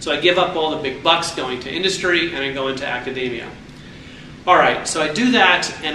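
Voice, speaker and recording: A man with an American accent speaks at a fairly high pitch. The recording has audible room echo and noticeable background noise. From New York City region. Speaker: entrepreneur and alumni speaker. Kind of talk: speech. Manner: animated.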